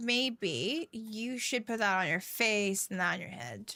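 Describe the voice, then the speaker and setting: In a very clean recording with a silent background, a woman with a fairly high pitch and a bright, sharp tone speaks at a very slow pace. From Venezuela, then US from age seven. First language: Spanish. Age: 30s. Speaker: gaming streamer. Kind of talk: live stream gameplay chat.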